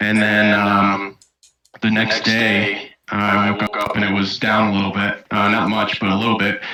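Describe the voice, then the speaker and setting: With an American accent, a man speaks at a moderate pace in a fairly low voice, flat and monotone, with very even loudness. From US, central New York State. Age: 20s. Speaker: community member interviewee. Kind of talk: casual interview.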